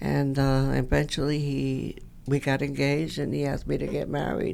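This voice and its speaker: A woman speaks at a moderate pace with an American accent. Room echo is audible. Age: 80s+. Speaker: retired personnel director, bus rider. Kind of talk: interview.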